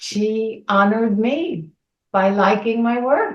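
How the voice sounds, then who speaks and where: Her pitch is fairly high, with lively intonation. The woman talks at a very slow pace. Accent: New York. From New York City. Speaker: underground cartoonist. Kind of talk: interview.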